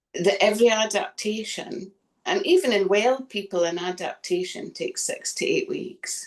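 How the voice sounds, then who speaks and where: A woman with a Scottish accent speaks at a moderate pace. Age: 60s. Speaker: chronic fatigue patient, former personal trainer. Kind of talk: testimony.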